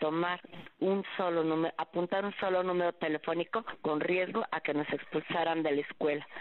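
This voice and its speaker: A woman speaks at a fairly low pitch with a monotone, flat intonation. Her loudness stays very even, and her pace is moderate. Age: 60s. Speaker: nurse. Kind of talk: testimony.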